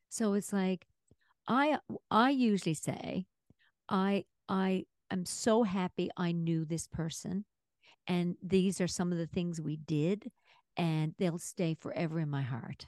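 With long, frequent pauses, a woman speaks at a fairly slow pace and a fairly low pitch, her pitch varying in an ordinary way, in a dry, close sound with no echo. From Newfoundland, Canada. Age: 60s. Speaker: podcast co-host. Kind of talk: casual chat.

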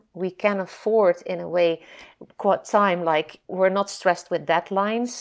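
In a very clean recording with a silent background, a woman with a Dutch accent speaks at a medium pitch and a fairly slow pace. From Netherlands. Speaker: nonprofit founder and scientist. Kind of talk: interview. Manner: halting.

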